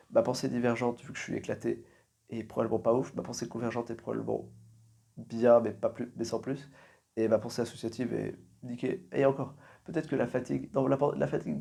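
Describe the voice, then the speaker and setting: Speaking quietly at a fairly quick pace, a man leaves long, frequent pauses in a very clean recording with a silent background. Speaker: podcaster. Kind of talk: solo monologue, endurance podcast challenge. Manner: quieter voice.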